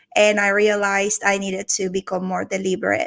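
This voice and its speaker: A woman's medium-pitched voice with a Venezuelan accent, on a very clean recording over a silent background. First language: Spanish. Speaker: organizational transformation executive. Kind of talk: podcast interview.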